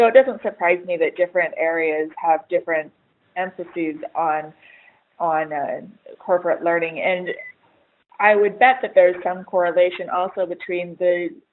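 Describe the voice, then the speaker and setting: With an American accent, a woman uses an ordinary speaking voice at a fairly low pitch, ordinary pitch variation and a moderate pace. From United States. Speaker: HR writer. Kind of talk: webinar panel discussion. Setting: webinar.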